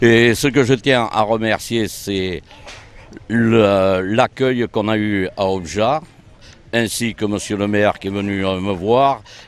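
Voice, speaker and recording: Very slowly, a man speaks in a fairly low pitch. His intonation is fairly even. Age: 60s. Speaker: blind pétanque player. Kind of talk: interview. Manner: hesitant.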